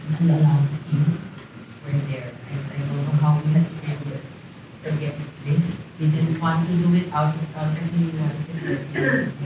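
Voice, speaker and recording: Over noticeable background noise and audible room echo, a woman speaks at a moderate pace. Her pitch is very deep and low, and her intonation is monotone and flat. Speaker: widow giving eulogy. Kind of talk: eulogy. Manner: loud.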